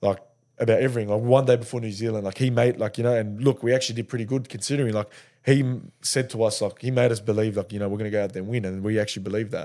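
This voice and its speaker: Speaking at a very fast pace with an Australian accent, a man with a dark, mellow tone keeps his intonation fairly even on a very clean recording with a silent background. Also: medium pitch for a man. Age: 20s. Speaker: professional rugby league player. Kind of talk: casual interview chat.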